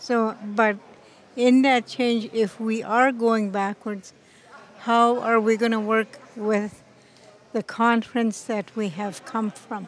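A woman speaks at a very slow pace in a monotone, flat intonation. The sound is dry, with no echo. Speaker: interviewee. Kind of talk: interview answer. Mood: thoughtful, calm. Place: hall. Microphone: handheld.

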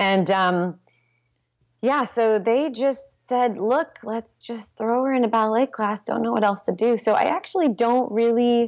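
Over music in the background, a woman with an American accent talks at a fairly high pitch with very wide pitch swings. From US West Coast (Santa Rosa, California). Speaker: pole dance instructor and studio owner. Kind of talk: interview. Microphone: video call.

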